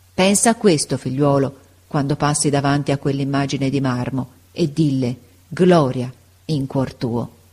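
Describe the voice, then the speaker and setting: The tone is solemn and the pace fairly slow. Long pauses come often. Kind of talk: dramatic narration, solemn reading aloud of a father's letter. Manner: solemn, impassioned, grave and emotionally charged, rising to pathos.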